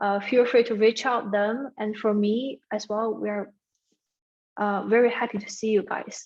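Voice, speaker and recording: A woman with a non-native accent speaks at a fairly slow pace. Her pitch is fairly high and her intonation monotone and flat. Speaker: peer accounting tutor. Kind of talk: exam review session. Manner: halting.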